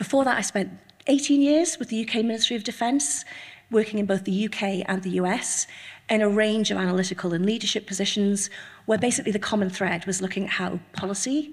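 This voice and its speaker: Somewhat breathy and fairly quick, a woman talks with ordinary pitch variation against a quiet background. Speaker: cybersecurity manager and organizational psychologist. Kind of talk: conference talk. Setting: stage with audience. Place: hall. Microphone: podium.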